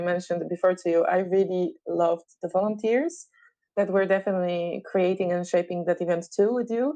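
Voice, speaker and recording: A woman speaks in a medium pitch with a Polish accent. Her tone is dark and mellow, and her intonation fairly even. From Poland. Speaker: sound therapist. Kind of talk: interview conversation.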